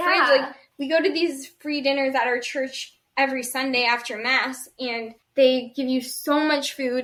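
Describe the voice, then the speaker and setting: A woman's high-pitched voice at a fairly slow pace, with fairly even intonation. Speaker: podcast co-host. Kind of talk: casual podcast conversation.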